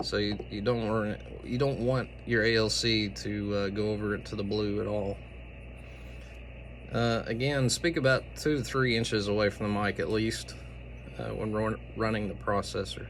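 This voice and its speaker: Somewhat breathy and fairly low-pitched, a man speaks at a moderate pace with lively intonation in a room with audible echo. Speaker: amateur radio operator. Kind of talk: tutorial. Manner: casual, with many fillers.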